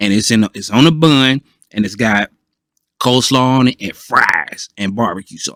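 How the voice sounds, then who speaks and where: Recorded with a dry, close sound and no echo, a man in an American accent talks at a moderate pace, his medium pitch showing ordinary variation and his tone bright and sharp. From Ohio, US Midwest. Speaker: podcast panelist. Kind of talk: casual chat. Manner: halting, many fillers.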